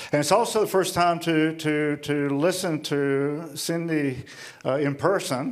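Over noticeable background noise, a man talks at a fairly high pitch with ordinary pitch variation. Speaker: ministry leader. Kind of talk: speech with interpreter. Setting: stage with audience.

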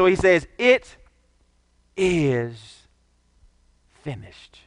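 This voice belongs to a man. The pitch moves across a very wide range. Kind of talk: sermon. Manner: declamatory, pausing to quote scripture verse by verse.

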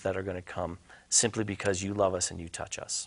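A man's fairly low voice, fairly even in intonation, a plain, everyday voice against a quiet background. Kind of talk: interview about faith.

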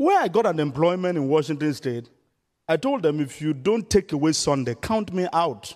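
In a Nigerian accent, a man speaks at a moderate pace with a fairly high pitch. His intonation is lively. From southern Nigeria. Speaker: missionary evangelist. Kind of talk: sermon. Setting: church.

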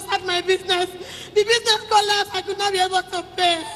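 Talking at a very fast pace, a woman with an extremely high pitch and a bright, sharp tone keeps a monotone, flat intonation. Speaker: woman in debt seeking help. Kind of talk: counselling exchange with preacher. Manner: halting.

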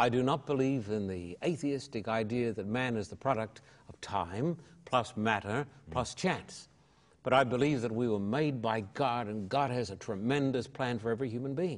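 This man speaks with an Australian accent at a medium pitch. His pace is moderate and his pitch varies in an ordinary way. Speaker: evangelist and pastor. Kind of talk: interview testimony. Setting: television studio.

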